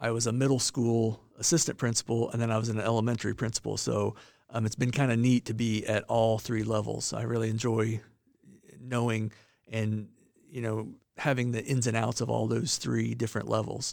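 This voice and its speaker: A man with a Midwestern American accent speaks fairly quickly in a monotone, flat intonation on a very clean recording with a silent background. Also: medium pitch for a man. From northern Indiana. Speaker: school superintendent. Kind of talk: interview. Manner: halting, many fillers.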